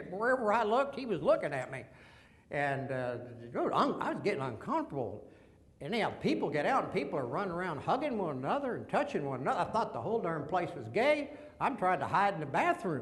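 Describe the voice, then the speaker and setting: Speaking at a very fast pace, a man with a Texas accent has a high pitch and very wide pitch swings. Audible room echo and noticeable background noise are present. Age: 70s. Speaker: veteran and businessman sharing faith story. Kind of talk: testimony.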